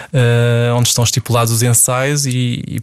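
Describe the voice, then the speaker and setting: Here a man speaks in a monotone with flat intonation. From Portugal, Setúbal. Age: 40s. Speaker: ballet dancer and choreographer. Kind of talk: interview. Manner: halting.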